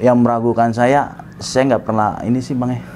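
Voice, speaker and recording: At a moderate pace, a man talks at a medium pitch with monotone, flat intonation. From Jakarta, Indonesia (Batak family). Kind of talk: interview testimony.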